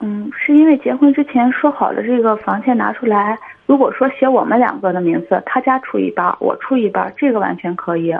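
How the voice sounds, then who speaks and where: At a high pitch and a fairly quick pace, a woman speaks with lively intonation. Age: 30s. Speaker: caller seeking marriage advice. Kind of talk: phone-in advice call. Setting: phone call.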